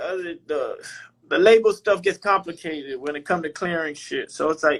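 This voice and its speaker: Speaking with a Southern accent, a man's voice sits high, with ordinary pitch variation. The recording is very clean, with a silent background. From Miami, Florida. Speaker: rapper. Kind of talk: casual interview chat.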